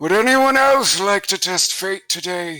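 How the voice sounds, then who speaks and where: A man does a put-on character voice, high in pitch with lively intonation. He speaks at a fairly slow pace over music in the background. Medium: actual play. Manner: formal, solemn.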